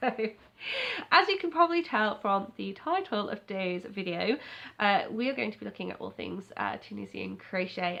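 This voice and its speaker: A woman with an English accent at a fairly quick pace. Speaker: crochet YouTuber. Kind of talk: casual vlog chat. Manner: fast.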